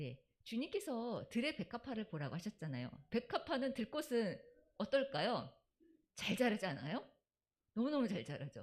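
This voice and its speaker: A woman's fairly high voice with vocal fry and very wide pitch swings. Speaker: church deacon presenting Sabbath school segment. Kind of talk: church talk.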